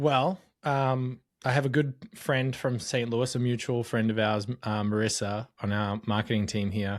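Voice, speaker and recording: With an Australian accent, a man of medium pitch talks at a moderate pace. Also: ordinary pitch variation, very clean recording, silent background. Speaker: marketing data expert. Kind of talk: interview.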